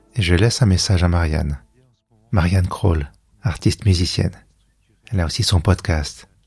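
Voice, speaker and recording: The speaker sounds somewhat breathy, moving at a moderate pace with long, frequent pauses, ordinary pitch variation and very even loudness. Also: man, very deep, low pitch for a man. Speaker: podcaster. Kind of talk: scripted narration; voice message.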